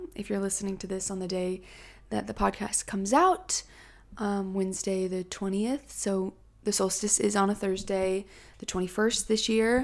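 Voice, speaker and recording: The voice moves at a moderate pace with fairly even intonation on a very clean recording with a silent background. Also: woman, medium pitch for a woman. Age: 20s. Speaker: podcast host. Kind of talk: casual solo podcast talk. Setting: home, in front of a Christmas tree. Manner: frequent fillers (um).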